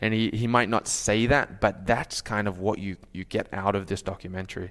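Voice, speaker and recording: In a very clean recording with a silent background, a man speaks at a fairly low pitch with an Australian accent. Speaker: pastor. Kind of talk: sermon. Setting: church.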